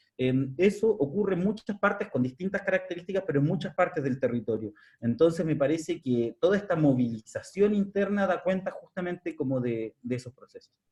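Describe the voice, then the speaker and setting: This man speaks with a Chilean accent and a high pitch. His intonation is lively, with hardly any pauses. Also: fairly quick pace. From southern Chile, Araucanía (Curarrehue). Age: 30s. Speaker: researcher presenting a study. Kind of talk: academic seminar talk.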